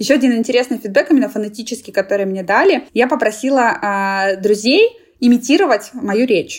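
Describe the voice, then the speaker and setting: Talking at a fairly quick pace, a woman uses a normal speaking voice with a fairly high pitch and lively intonation. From Russia (Moscow). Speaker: international community specialist. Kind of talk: interview. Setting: remote call.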